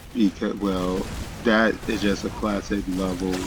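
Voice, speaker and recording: Noticeable background noise sits behind a man's voice. He speaks at a very slow pace with a fairly low pitch. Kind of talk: video game commentary. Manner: hesitant, filler words.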